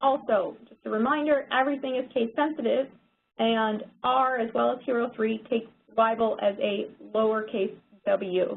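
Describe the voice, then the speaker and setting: At a moderate pace, a woman with an unremarkable speaking voice and fairly high pitch keeps fairly even intonation while her loudness swings widely. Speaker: software workshop instructor. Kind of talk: tutorial.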